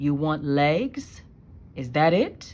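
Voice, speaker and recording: Putting on a character voice, a woman sounds croaky, with a very deep, low pitch. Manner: menacing.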